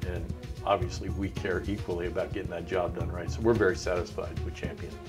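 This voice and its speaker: A man talks at a fairly quick pace with a very deep, low pitch. His pitch varies in an ordinary way over clear background music. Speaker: home improvement radio show host. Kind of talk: customer testimonial interview. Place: home room. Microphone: lapel.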